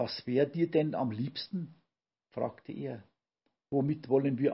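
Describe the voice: Over a quiet background, the voice is plain reading aloud with ordinary pitch variation.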